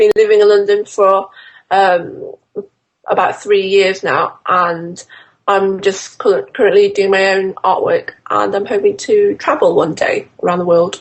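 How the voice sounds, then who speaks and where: A woman with a Yorkshire accent, at a fairly slow pace. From northern England, Doncaster. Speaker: fashion illustrator. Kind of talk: interview. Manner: hesitant, many fillers.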